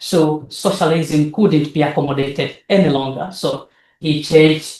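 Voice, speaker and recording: Speaking at a fairly slow pace, a man has a Tanzanian accent. His pitch is fairly high. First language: Nyakyusa. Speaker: academic researcher. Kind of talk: lecture. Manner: halting.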